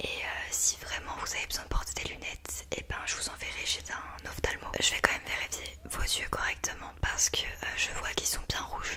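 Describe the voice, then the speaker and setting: Whispering with hardly any pauses comes through over noticeable background noise. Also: woman. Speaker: ASMR creator playing a doctor. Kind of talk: ASMR roleplay, doctor consultation. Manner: soft, gentle, slow, caring.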